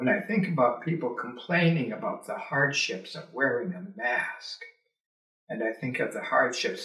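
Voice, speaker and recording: A man with a Canadian Prairie accent, fairly slow pace and very wide pitch swings. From rural Alberta, Canada. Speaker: retired teacher and politician. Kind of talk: oral history interview. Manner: halting, many fillers.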